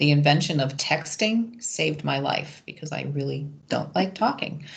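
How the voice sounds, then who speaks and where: A somewhat breathy woman with a very deep, low pitch, ordinary pitch variation and a fairly slow pace. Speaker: webinar participant. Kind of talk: online discussion. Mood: candid, light. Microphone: video call.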